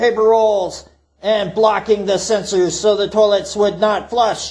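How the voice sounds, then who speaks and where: Put-on character voice from a man, pitched high, moving at a moderate speed. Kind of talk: folksy tall-tale storytelling. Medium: solo performance. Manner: refers to self in third person, rambling, profane.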